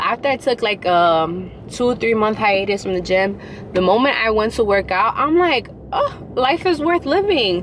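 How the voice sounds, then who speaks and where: Over noticeable background noise, a woman with a New York accent speaks at a moderate pace in an animated tone, her pitch swinging very widely while her loudness stays very even. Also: fairly high pitch for a woman. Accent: New York City. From New York City, Queens. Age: 20s. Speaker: vlogger. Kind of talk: casual vlog talk. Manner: animated, casual.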